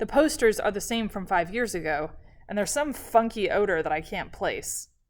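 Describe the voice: Plain reading aloud. The intonation is lively.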